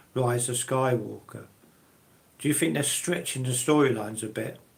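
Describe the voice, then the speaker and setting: Speaking in a British accent at a medium pitch and moderate pace, a man shows ordinary pitch variation, with audible room echo around him. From UK. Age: 60s. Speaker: live streamer, collector. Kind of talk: live stream chat with viewers. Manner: halting, many fillers.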